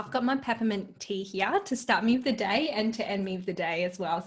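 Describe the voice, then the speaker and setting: Her pace fairly quick, a woman speaks at a medium pitch with ordinary pitch variation. The voice is somewhat breathy. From Malaysia. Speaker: dietitian. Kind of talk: interview.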